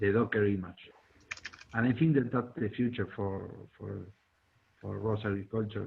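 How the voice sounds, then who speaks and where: With a Spanish accent, a man speaks at a fairly low pitch and moderate pace, with ordinary pitch variation and long, frequent pauses. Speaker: robotics hobbyist. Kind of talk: community meeting presentation. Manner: halting, many fillers.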